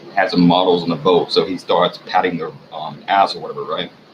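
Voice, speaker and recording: A man speaks with an American accent. There is noticeable background noise behind him. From US South. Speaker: vlogger. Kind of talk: casual monologue. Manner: fast.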